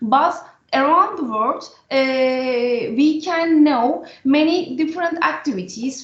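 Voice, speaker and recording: A woman with a high pitch talks very slowly, her pitch varying in an ordinary way. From Turkey. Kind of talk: panel discussion. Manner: halting.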